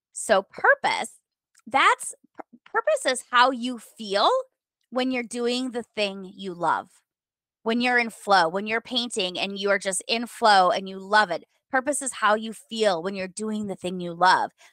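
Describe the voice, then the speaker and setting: An American woman talks at a fairly slow pace with ordinary pitch variation and big swings in loudness, in an American accent. The sound is dry with no echo, and the background is quiet. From US Midwest, rural Minnesota. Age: 40s. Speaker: author, podcaster and former lawyer. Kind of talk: interview. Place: home room. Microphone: video call.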